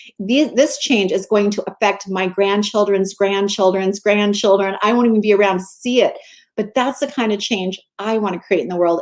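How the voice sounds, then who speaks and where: A woman speaks in an unremarkable speaking voice at medium pitch. She talks at a fairly quick pace with fairly even intonation. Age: 60s. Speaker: mindset coach and magazine editor. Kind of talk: interview.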